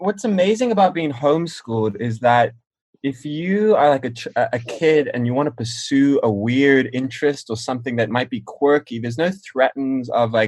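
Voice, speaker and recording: With a slight South African accent, a man speaks at a medium pitch and moderate pace using lively intonation. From South Africa, then US from age nine. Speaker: musician. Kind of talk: casual chat.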